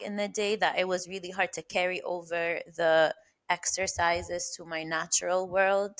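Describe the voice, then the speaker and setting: Very clean with a silent background, the recording has a woman speaking at a fairly slow pace in a monotone, flat intonation. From Egypt. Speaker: speech-language pathologist. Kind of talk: podcast interview. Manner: occasional disfluencies.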